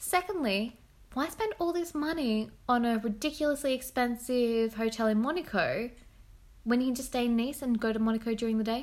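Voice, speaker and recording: This woman speaks at a fairly quick pace in a high pitch with ordinary pitch variation. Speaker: podcast host. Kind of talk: casual chat.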